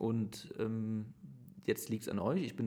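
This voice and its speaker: The speaker is a man. His tone is dark and mellow. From Germany, Aachen area. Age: 30s. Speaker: mayor. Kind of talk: interview. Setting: mayor's office.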